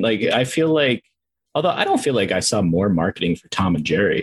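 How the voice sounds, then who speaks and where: A man's fairly quick, somewhat breathy speech in an American accent, with very wide pitch swings. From Minnesota, US Midwest. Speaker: film reviewer, video creator. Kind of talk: casual chat.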